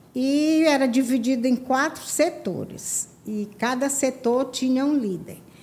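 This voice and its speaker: A woman with a high voice speaks at a very slow pace with hardly any pauses and ordinary pitch variation. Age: 70s. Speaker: church women's ministry leader. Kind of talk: testimony.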